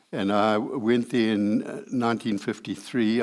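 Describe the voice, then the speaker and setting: At a very slow pace, a man with a fairly low pitch speaks in a monotone, flat intonation, in a very clean recording with a silent background. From South Africa, Johannesburg. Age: 70s. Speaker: church member giving testimony. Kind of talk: testimony. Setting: men's breakfast gathering. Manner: halting, many hesitations.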